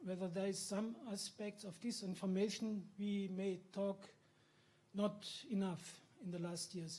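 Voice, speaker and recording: A high-pitched man with a German accent at a fairly slow pace, his intonation fairly even and broken by long, frequent pauses. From Germany. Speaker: journalist, audience member. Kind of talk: audience question.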